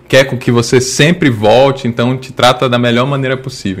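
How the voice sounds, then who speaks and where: Here a man with a medium pitch talks at a fairly quick pace. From Bahia, Brazil (Salvador). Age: 20s. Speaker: educational robotics educator. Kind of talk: casual interview. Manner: halting, many fillers.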